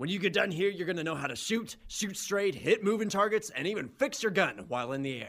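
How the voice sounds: Putting on a character voice, a man speaks fairly quickly in a high, fairly bright voice with vocal fry and lively intonation.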